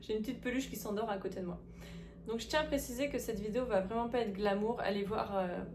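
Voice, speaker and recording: Noticeable background noise sits behind a woman talking at a very fast pace. Her pitch variation is ordinary. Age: 30s. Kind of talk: casual talk to camera.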